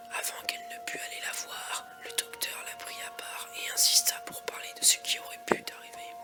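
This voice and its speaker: Whispering with hardly any pauses over music in the background. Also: moderate pace. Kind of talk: creepypasta horror story narration, ASMR. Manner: soft, relaxing, ASMR.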